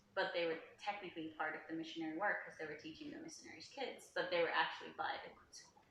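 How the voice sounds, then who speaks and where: A woman talks at a very fast pace with ordinary pitch variation and big swings in loudness. Room echo is audible. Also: fairly low pitch for a woman. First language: Finnish. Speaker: travel vlogger. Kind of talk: casual chat.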